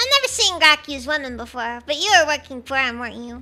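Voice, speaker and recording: A woman's high-pitched, put-on character voice, very fast, with lively intonation and big swings in loudness. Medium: virtual streamer. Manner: slurred, dismissive then threatening.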